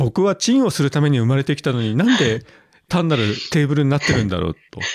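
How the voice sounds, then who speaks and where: A man speaks very fast at a fairly high pitch. The sound is dry and close, with no echo. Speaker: podcast host. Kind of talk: casual chat.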